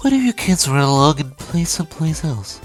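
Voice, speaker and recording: A nasal, put-on character voice at a middle pitch moves along at a fairly quick pace over clear music in the background. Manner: patronizing, menacing.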